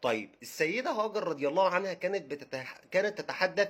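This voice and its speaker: A high-pitched man with an Egyptian accent, lively intonation and a fairly quick pace. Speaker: religious history educator. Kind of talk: casual educational talk. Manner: halting, with repetitions.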